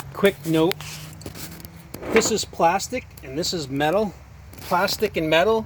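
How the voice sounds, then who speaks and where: A man speaks fairly slowly in a high voice with ordinary pitch variation. He takes long, frequent pauses over noticeable background noise. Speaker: pressure washing business owner. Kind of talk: tutorial. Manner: casual, repetitive.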